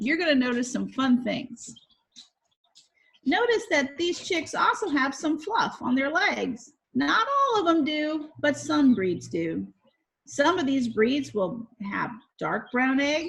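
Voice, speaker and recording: Loud and at a very slow pace, a woman speaks in a high pitch with very wide pitch swings. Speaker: science educator. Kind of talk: educational video for children. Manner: animated.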